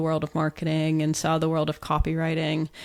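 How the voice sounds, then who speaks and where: A woman with an American accent speaks at a fairly quick pace. It is a plain, everyday voice. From US. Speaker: business founder. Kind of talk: interview.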